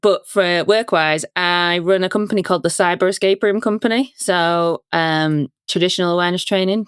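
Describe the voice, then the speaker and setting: With a Yorkshire accent, a woman speaks at a moderate pace, a fairly low pitch and fairly even intonation in a very clean recording with a silent background and a dry, close sound with no echo. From Yorkshire, northern England. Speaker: company founder, security awareness trainer. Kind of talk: podcast interview. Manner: casual, relaxed.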